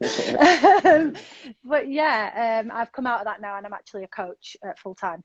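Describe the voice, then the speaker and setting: This woman talks at a fairly slow pace with a fairly high pitch. Her pitch swings very widely, and her loudness rises and falls sharply. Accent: Manchester. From northern England, north Manchester. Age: 40s. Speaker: sobriety coach. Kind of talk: interview.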